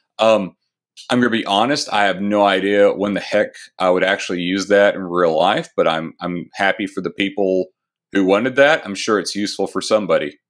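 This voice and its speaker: Pitch varies in an ordinary way as an ordinary speaking voice goes at a fairly quick pace. Behind it, the background is silent and the recording very clean. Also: man, fairly low pitch for a man. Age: 30s. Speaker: tech author. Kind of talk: interview.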